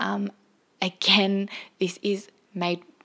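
In an Australian accent, a woman talks with a bright, sharp tone. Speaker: podcast host, mother. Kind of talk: personal monologue on mental health.

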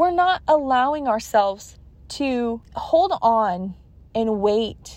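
Here a woman talks in an American accent. Her voice is high-pitched, with lively intonation. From California. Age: 20s. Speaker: guest sharing testimony. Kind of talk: testimony.

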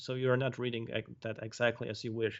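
A man with a Polish accent. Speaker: video game level designer. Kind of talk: casual interview. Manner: halting.

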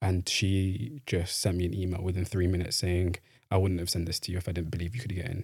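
A man with a Mancunian accent talks at a very fast pace, his pitch very deep and low. His voice is somewhat breathy, with fairly even intonation. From northern England, Manchester. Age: 20s. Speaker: graduate student. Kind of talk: interview. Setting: studio.

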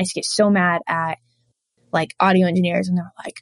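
The woman's delivery moves along at a fairly quick pace. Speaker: freelance audio post-production engineer. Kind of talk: casual interview chat.

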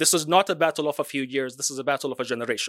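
A man talks at a very fast pace. The recording is very clean and dry, close with no echo, over a silent background. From Palestinian. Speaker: activist. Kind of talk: press conference statement. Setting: press conference.

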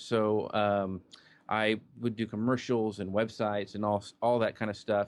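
In an American accent, a plain, everyday voice moves at a moderate pace. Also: man. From Kansas, small town. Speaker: social media marketer. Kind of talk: interview.

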